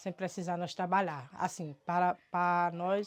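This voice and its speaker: A woman talks at a moderate pace in a very clean recording with a silent background and a dry, close sound with no echo. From Brazil, rural Ceará backlands (Cariri). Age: 60s. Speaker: farmer. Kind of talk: testimony. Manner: halting, repeated words.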